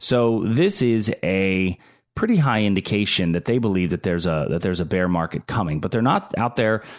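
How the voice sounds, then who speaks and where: Using a plain, everyday voice, a man speaks with an American accent at a moderate pace, his pitch fairly low with ordinary pitch variation. Loudness stays very even on a very clean recording with a silent background. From Pittsburgh, Pennsylvania. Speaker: financial advisor podcast host. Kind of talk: casual solo monologue on finance.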